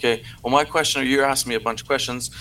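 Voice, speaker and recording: A man with a French accent, a bright, sharp tone, and fairly even intonation. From Canada. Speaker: convoy supporter caller. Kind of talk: debate. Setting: remote call from PC.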